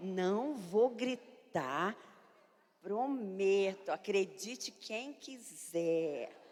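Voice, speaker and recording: A woman speaks loudly with lively intonation. Her pace is very slow. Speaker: pastor. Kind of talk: sermon.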